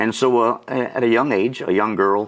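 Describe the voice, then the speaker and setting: A man in a normal speaking voice, at medium pitch and moderate pace, with fairly even intonation, in a very clean recording with a silent background. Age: 60s. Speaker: auctioneer and lay minister. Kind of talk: testimony. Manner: conversational with frequent fillers.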